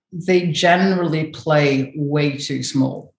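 A woman with a very deep, low pitch and ordinary pitch variation, in audible room echo. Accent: Scottish. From northern Scotland. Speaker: brand building consultant. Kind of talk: interview.

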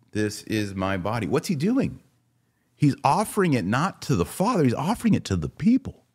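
A man with vocal fry speaks at a medium pitch and moderate pace, his pitch swinging very widely. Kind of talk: casual live commentary. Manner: occasional coughing and throat clearing.

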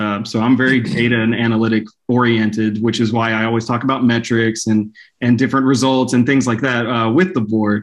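A man with an American accent has an unremarkable speaking voice. His pitch is medium and his intonation fairly even. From Texas, Dallas/Fort Worth area. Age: 30s. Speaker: software analytics manager. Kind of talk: podcast interview.

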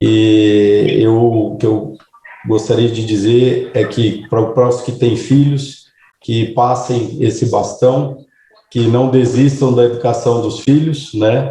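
A man speaks at a very slow pace. His medium-pitched voice keeps a fairly even intonation. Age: 30s. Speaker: cattle rancher. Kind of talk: interview. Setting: podcast interview.

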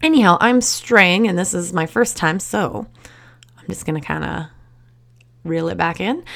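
Speaking in a Canadian accent, a woman with a fairly low voice and lively intonation keeps a moderate pace, with long, frequent pauses and big swings in loudness, over noticeable background noise. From Canada, Surrey near Vancouver. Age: 30s. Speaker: realtor and podcast host. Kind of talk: solo podcast monologue. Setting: dark office late at night. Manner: halting, many fillers.

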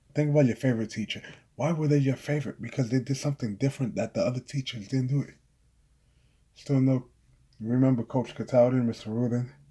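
Very fast and somewhat breathy, a man talks in a dark, mellow tone at medium pitch with fairly even intonation. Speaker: podcast host and author. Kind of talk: casual solo podcast monologue. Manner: casual, conversational, mostly unscripted.

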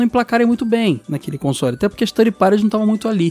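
This man's voice is high-pitched, with lively intonation. Noticeable background noise runs behind him. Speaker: podcast host. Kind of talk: casual chat.

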